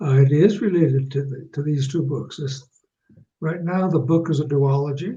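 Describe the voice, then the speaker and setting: This man has a fairly high, somewhat breathy voice with a dark, mellow tone and an American accent. He speaks at a moderate pace with ordinary pitch variation. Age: 80s+. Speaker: author. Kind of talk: interview. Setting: phone call.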